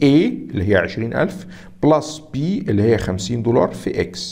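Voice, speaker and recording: In an Egyptian accent, a man speaks at medium pitch with lively intonation. His tone is dark and mellow, and somewhat breathy. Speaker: accounting exam instructor. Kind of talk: lecture. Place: home room.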